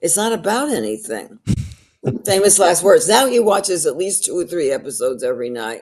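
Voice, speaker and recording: The voice has vocal fry, very wide pitch swings and a New York accent, moving at a fairly quick pace. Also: woman, fairly low pitch for a woman. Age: 80s+. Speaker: actress and storyteller. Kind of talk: podcast interview answer. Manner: honest, colorful.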